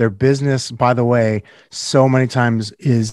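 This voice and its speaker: A man speaks at a medium pitch with a Californian accent. His pace is moderate and his intonation is monotone and flat. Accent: General American (Californian). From Northern California. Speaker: real estate team leader and podcast host. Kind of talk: casual interview.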